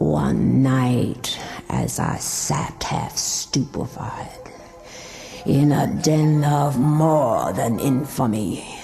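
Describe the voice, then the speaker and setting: Over clear background music, the voice sits at a low-to-middle pitch and moves at a very slow pace. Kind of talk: gothic horror reading. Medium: read story. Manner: measured, somber.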